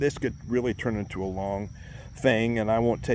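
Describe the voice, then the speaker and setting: The voice shows ordinary pitch variation, with audible room echo around it. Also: man. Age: 60s. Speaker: vlogger with multiple sclerosis. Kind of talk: casual personal vlog. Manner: halting, with hesitations.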